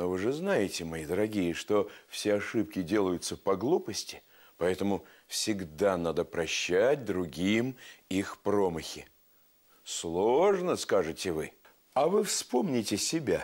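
A man speaks at a very slow pace with lively intonation against a quiet background. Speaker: TV storyteller host. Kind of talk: storytelling to children. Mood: warm, playful, expressive. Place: studio. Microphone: lapel.

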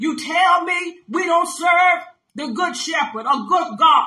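Very slowly and with ordinary pitch variation, a woman speaks in a raised, projected voice of extremely high pitch with a bright, sharp tone, over a quiet background. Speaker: pastor. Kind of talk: sermon with scripture reading and commentary. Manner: emphatic, call-and-response preaching style. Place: home room. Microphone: phone near.

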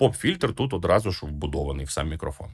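A man is speaking. His voice carries vocal fry. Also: very clean recording, silent background. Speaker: tech reviewer. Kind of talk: product review.

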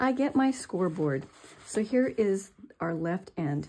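A woman speaks very slowly. Her tone is dark and mellow. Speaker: crafter demonstrating. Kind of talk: tutorial.

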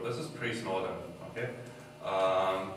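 A man speaks at a fairly slow pace with a fairly low pitch. Strong room echo surrounds him, along with light background noise. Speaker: conference speaker. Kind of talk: talk presentation. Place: hall. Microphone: camera far.

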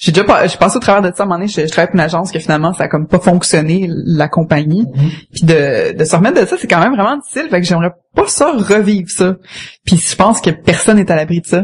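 Over noticeable background noise, a woman with a Quebec accent and fairly low pitch speaks at a very fast pace with ordinary pitch variation. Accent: Québécois French. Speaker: community manager. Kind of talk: casual chat.

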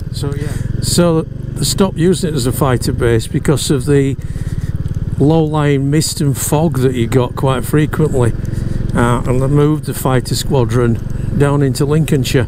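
A man at a moderate pace, dry sound with no echo, and noticeable background noise. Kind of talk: casual moto-vlog commentary. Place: motorbike. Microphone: helmet.

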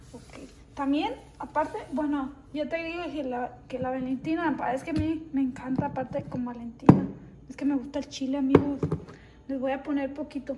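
Through noticeable background noise, a woman speaks in a high voice with fairly even intonation and big swings in loudness. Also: moderate pace. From Sinaloa, Mexico. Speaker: vlogger. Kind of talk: casual cooking vlog talk to camera. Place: kitchen. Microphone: phone near.

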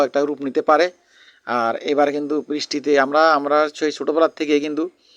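The man's voice sits at a fairly high pitch. The sound is dry and close, with no echo. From Bangladesh, Cumilla (Chauddagram). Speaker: vlogger. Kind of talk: vlog. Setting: outdoors.

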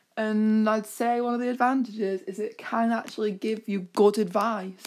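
A woman in a British accent speaks at a moderate pace with fairly high pitch and monotone, flat intonation. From UK. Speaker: YouTuber. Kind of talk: casual vlog commentary.

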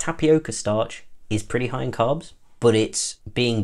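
Speaking with a British accent, a man keeps to a moderate pace. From UK. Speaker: food product reviewer. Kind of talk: product review. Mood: friendly, relaxed. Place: home room.

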